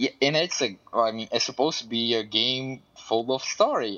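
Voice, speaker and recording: In a Portuguese accent, a man talks at a medium pitch. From Brazil. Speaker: lab researcher. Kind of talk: casual chat.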